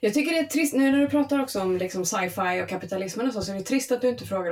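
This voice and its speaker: A woman talking very fast with lively intonation. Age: 30s. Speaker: podcast guest. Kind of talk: casual chat.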